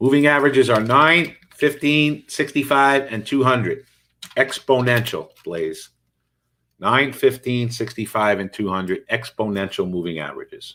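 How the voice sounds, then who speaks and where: On a very clean recording with a silent background, a man speaks at a medium pitch with lively intonation and an animated tone. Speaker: day trading instructor. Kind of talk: live trading commentary. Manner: fast.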